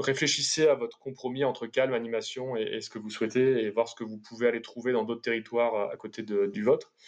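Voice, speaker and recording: Flat, monotone intonation marks a man's medium-pitched voice, which rushes along at a very fast pace. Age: 30s. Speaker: urban planner and geographer. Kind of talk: interview. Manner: halting.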